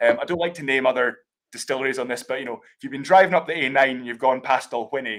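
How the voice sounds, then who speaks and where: With a Scottish accent, a man talks very fast at a medium pitch with ordinary pitch variation. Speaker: whisky brand ambassador. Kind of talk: live tasting explanation.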